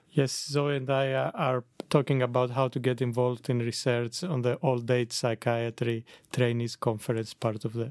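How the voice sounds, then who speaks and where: A man with a Greek accent speaks at a moderate pace and medium pitch, with fairly even intonation. The sound is dry and close, with no echo. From Greece. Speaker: psychiatrist and clinical lecturer. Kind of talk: casual interview.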